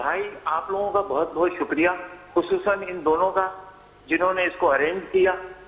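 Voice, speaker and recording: Fairly even intonation from a high-pitched man over noticeable background noise. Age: 60s. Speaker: caller. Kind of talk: phone-in call.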